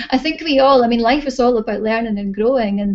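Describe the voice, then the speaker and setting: Her voice dark and mellow yet fairly high in pitch, a woman speaks with a Scottish accent and ordinary pitch variation. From Scotland. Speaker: holistic therapy practitioner and teacher. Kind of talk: interview. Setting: video call.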